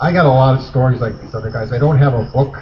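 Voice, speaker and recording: In a room with audible echo and noticeable noise, a man talks at a mid-range pitch. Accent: Upper Midwest. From Wisconsin. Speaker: eyewitness storyteller. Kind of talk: campfire storytelling. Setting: outdoor campfire at festival.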